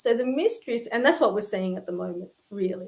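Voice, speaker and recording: A woman with an Australian accent. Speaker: spiritual practitioner. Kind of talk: live stream chat.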